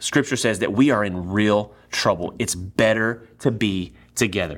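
In a Texan accent and an animated tone, a man talks at a fairly slow pace and medium pitch, recorded very cleanly against a silent background. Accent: Texan American. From East Texas. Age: 30s. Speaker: pastor. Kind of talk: sermon.

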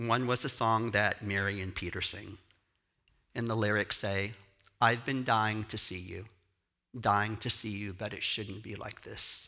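Recorded very cleanly against a silent background, a man with a Texan accent speaks in a fairly low pitch with a bright, sharp tone. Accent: Texan Southern US. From Texas. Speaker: pastor and choreographer. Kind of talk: sermon. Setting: church with audience. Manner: animated.

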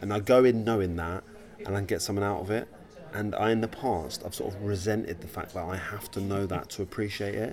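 There is noticeable background noise as a man with a fairly low pitch talks fairly quickly with fairly even intonation. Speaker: podcast host. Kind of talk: casual chat. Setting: coffee shop in a gallery. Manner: soft-spoken.

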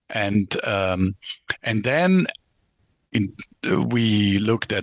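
This man has a fairly low pitch and ordinary pitch variation. He speaks at a very slow pace. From Germany, son of a German mother and a Yugoslav father. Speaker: founder of a branding consultancy. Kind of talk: interview. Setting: remote call.

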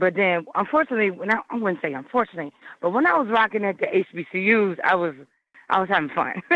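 An animated woman with an American accent, medium pitch, very fast pace, lively intonation and very even loudness. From Virginia (Hampton Roads and Richmond areas). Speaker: hip hop artist. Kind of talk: casual interview. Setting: phone call.

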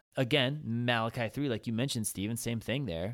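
In a very clean recording with a silent background, a man with an unremarkable speaking voice talks at a medium pitch with lively intonation. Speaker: pastor and podcast host. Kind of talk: casual podcast discussion. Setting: podcast table conversation.

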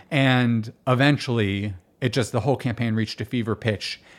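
An unremarkable speaking voice in an American accent, with fairly even intonation. The recording is very clean, with a silent background. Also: man. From Miami Beach, Florida. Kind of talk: casual interview conversation.

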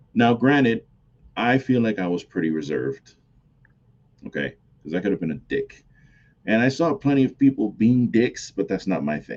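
With an American accent, a man speaks at a medium pitch and a moderate pace, animated in tone, with vocal fry and very wide pitch swings. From New York, the Bronx. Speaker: wrestling podcast host. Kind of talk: solo podcast commentary. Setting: home recording at computer.

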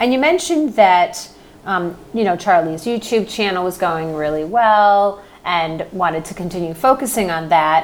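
A woman with an unremarkable speaking voice talks at a moderate pace. Her intonation is lively. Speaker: podcast host. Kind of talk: casual interview chat.

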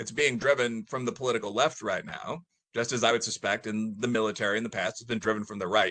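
Against a quiet background, a man with a Midwestern American accent talks at a very fast pace in a medium pitch, his tone bright and sharp with ordinary pitch variation. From US Midwest, Chicago area. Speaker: professor. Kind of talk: casual chat. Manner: talkative, rambling.

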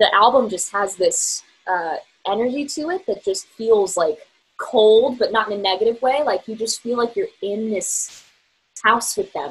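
A woman with an American accent, a normal speaking voice, fairly high pitch, lively intonation and a moderate pace. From Virginia. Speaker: singer-songwriter. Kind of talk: casual interview chat.

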